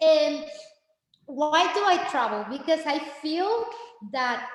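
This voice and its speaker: There is audible room echo as a woman talks at a very slow pace. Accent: Spanish. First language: Spanish. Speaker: Spanish teacher. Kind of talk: informational meeting presentation. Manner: animated; halting.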